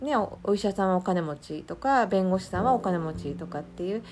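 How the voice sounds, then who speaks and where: Her intonation is lively. This woman talks at a fairly quick speed. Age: 40s. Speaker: podcast host, coaching student. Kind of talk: casual solo talk. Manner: many fillers and hesitations.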